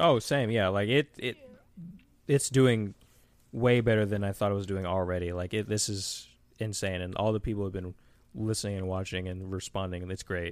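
Recorded very cleanly against a silent background, a man with an American accent and an ordinary speaking voice talks at a moderate pace and fairly low pitch with ordinary pitch variation. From US Midwest, Cleveland, Ohio. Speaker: YouTube creator. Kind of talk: casual chat.

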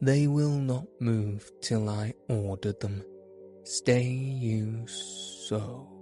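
Using a put-on character voice at medium pitch, a man speaks at a very slow pace while clear music plays behind him along with hissing. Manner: hissing, commanding.

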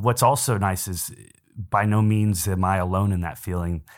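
An ordinary speaking voice with an American accent and fairly even intonation comes through in a very clean recording with a silent background. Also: man. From San Antonio, Texas. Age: 20s. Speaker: podcast co-host. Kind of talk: casual chat.

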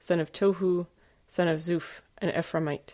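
A woman speaks in an ordinary speaking voice, fairly low in pitch with fairly even intonation. The recording is very clean, with a silent background. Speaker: scripture reader. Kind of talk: reading aloud.

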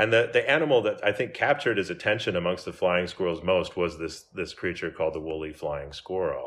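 With an American accent, a man talks at a fairly quick pace with hardly any pauses. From US Midwest, Minnesota. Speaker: museum scientist, zoologist. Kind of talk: interview. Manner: halting, many fillers.

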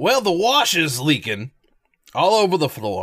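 In a put-on character voice with a Brooklyn accent, a man sounds gruff and raspy, talking at a fairly slow pace with very wide pitch swings on a very clean recording with a silent background. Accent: rough Brooklyn. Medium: actual play. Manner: blunt, rambling.

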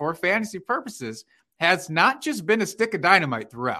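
A man with an American accent projects a raised voice with a bright, sharp tone and very wide pitch swings, speaking at a moderate pace against a quiet background. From Iowa, US Midwest. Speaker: fantasy football podcast host. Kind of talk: casual chat about fantasy football.

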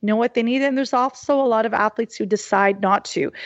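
A woman with a Canadian accent and an unremarkable speaking voice talks at a moderate pace, her fairly high pitch showing ordinary variation. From Canada, Halifax, Nova Scotia. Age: 40s. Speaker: sports journalist and activist. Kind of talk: interview conversation.

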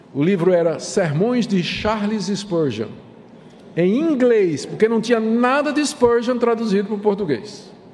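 Noticeable background noise and audible room echo surround the speaker. A man with high pitch talks at a fairly slow pace with lively intonation. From Brazil, Recife, Pernambuco. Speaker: pastor. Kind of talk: lecture. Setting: church.

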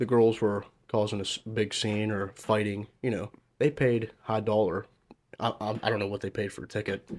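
Fairly low in pitch, a man with an unremarkable speaking voice at a moderate pace, on a very clean recording with a silent background. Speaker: violinist and strings player. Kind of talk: casual chat.

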